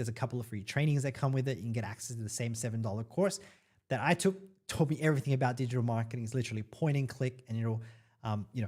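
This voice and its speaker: A man with an Australian accent speaks very fast in a somewhat breathy voice. The recording is very clean, with a silent background. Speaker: online marketing influencer. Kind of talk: live stream Q&A. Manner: casual, hesitant with fillers.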